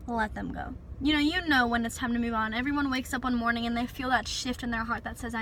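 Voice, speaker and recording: Over noticeable background noise, a woman with a high pitch talks at a very fast pace with fairly even intonation. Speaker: relationship advice vlogger. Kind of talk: casual advice vlog. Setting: in a parked car.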